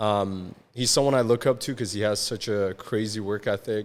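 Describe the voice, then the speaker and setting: An unremarkable speaking voice, a man's at a fairly low pitch, comes through a very clean recording with a silent background. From Iran, then Canada from age nine. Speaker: podcast guest. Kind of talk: casual interview chat. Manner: casual, with many fillers.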